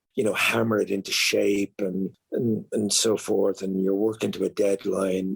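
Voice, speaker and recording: In an Irish accent, a man talks at a moderate pace with a fairly low pitch, the sound dry and close with no echo. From Ireland. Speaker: actor and author. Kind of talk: interview answer. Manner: reflective, hesitant.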